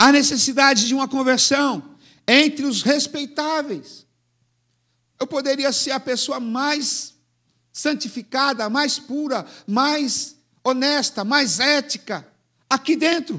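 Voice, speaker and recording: A man speaks in a raised, projected voice at an extremely high pitch, bright and sharp in tone with fairly even intonation. His pace is very slow, with long, frequent pauses, on a very clean recording with a silent background. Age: 70s. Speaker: pastor. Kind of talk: sermon.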